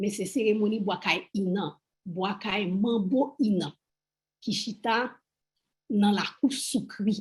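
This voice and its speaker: Somewhat breathy, a woman speaks at medium pitch with ordinary pitch variation. Her pace is fairly slow, with long, frequent pauses. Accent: Haitian. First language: Haitian Creole. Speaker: Vodou priestess, panelist. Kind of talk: panel discussion.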